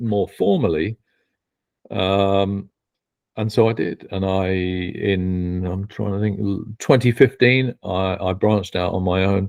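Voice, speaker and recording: This man has a fairly low pitch and a British accent. His intonation stays fairly even. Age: 50s. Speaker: betting industry consultant and educator. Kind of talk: podcast interview. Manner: halting, many false starts.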